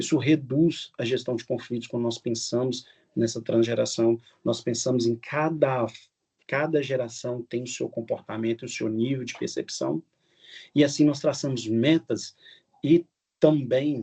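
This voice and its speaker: A man talks fairly slowly with fairly even intonation. His tone is dark and mellow. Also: quiet background. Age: 60s. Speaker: business speaker. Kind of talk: webinar talk. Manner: halting.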